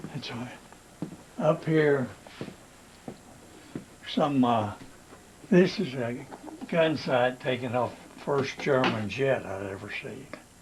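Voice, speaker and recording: A man of medium pitch at a very slow pace with long, frequent pauses, ordinary pitch variation, big swings in loudness, and noticeable background noise. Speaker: war veteran. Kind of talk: casual reminiscing to family.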